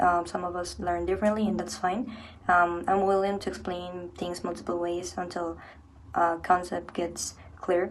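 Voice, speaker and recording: A woman speaks at a moderate pace in a fairly low, flat monotone. Noticeable background noise and audible room echo surround her voice. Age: 20s. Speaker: university student. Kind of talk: personal reflection.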